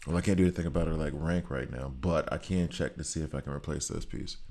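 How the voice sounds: A man in a put-on character voice speaks very fast, husky and very deep in pitch.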